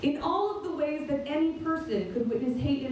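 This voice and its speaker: Light background noise and audible room echo fill the recording. A woman speaks with an American accent at a moderate pace. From Reading, Massachusetts; Massachusetts. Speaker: school staff member; speaker. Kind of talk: speech at a vigil. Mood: solemn, earnest.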